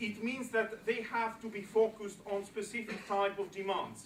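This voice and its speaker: A man with a Greek accent speaks at a high pitch and moderate pace. His intonation is monotone and flat, with noticeable background noise behind him. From Greece. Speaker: political speaker. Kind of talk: public speech.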